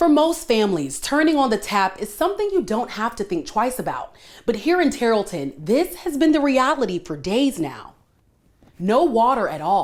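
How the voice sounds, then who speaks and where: Her pitch swinging very widely, a woman speaks at a fairly high pitch with vocal fry in a very clean recording with a silent background. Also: moderate pace. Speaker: TV news reporter and anchor. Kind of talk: live field report on storm damage and local news. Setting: outdoors, windy.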